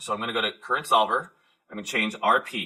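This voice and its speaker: A bright, sharp tone delivered at a very fast pace. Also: man. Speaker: high school teacher. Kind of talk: tutorial.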